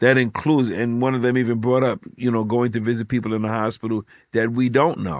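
A man's unremarkable speaking voice, medium in pitch, with fairly even intonation and a fairly quick pace. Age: 60s. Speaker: ministry leader. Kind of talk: casual chat.

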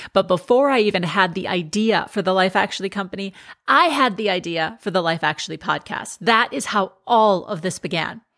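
On a very clean recording with a silent background, a woman speaks at a medium pitch and moderate pace, her bright, sharp tone animated, with ordinary pitch variation. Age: 40s. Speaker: podcast host and life coach, former TV sports anchor. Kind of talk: monologue, personal storytelling.

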